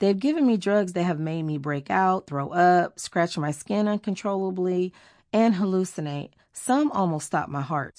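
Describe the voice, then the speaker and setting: An ordinary speaking voice from a woman with an American accent, medium in pitch, lively in intonation, at a moderate pace against a quiet background. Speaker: singer. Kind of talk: audiobook memoir narration.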